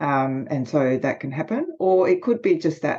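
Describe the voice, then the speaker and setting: In an Australian accent, a woman with a dark, mellow tone speaks over a quiet background. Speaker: leadership consultant and author. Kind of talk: podcast interview.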